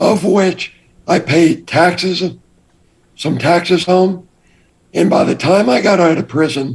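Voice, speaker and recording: A man's high-pitched voice, fairly slow, with ordinary pitch variation and long, frequent pauses. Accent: American. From Texas, Austin. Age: 60s. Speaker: former drug smuggler turned entrepreneur. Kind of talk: interview.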